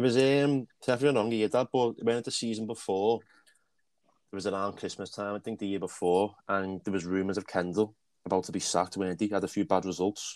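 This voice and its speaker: On a very clean recording with a silent background, a man with a normal speaking voice talks fairly quickly at a fairly low pitch with ordinary pitch variation. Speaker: podcast co-host. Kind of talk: casual chat.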